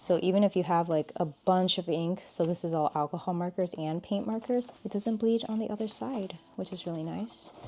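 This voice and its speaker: Fairly quick speech with ordinary pitch variation and noticeable background noise. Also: woman. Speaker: artist and art content creator. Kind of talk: tutorial. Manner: casual, conversational.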